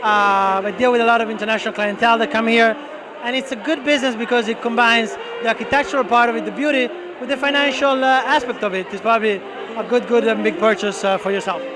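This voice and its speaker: A man speaks at a very fast pace with an Italian accent, in a raised, projected voice of extremely high pitch and fairly even intonation. Noticeable background noise runs behind him. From Italy. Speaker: real estate broker. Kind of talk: interview. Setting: networking event at a bar.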